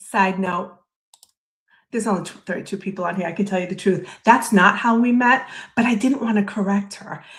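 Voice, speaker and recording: A woman with a medium pitch talks at a fairly quick pace, her somewhat breathy voice showing big swings in loudness over fairly even intonation. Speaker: streamer reviewing her own podcast interview. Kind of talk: live stream commentary. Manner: casual, chatty.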